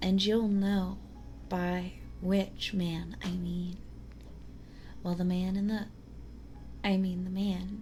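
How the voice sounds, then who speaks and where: A woman talks soft-spoken, with a gentle tone. Her pace is very slow. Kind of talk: ASMR story reading, soft-spoken. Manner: soft-spoken, slow, gentle.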